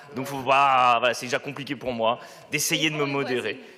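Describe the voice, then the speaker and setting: Over noticeable background noise and audible room echo, a man speaks at a fairly quick pace in a fairly high voice. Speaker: local councillor. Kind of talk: council debate reply. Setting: council chamber. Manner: loud; hesitant, many fillers.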